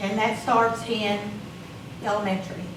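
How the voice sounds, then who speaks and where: Speaking at a fairly slow pace with ordinary pitch variation, a woman is heard over noticeable background noise and audible room echo. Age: 60s. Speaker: school board member. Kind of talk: board meeting remarks. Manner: emotional, halting.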